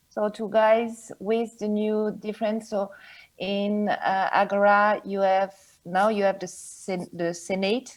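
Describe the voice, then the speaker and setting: A woman at medium pitch, very slow and monotone with flat intonation, in a very clean recording with a silent background. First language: French. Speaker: board game publisher. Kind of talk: interview. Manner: halting.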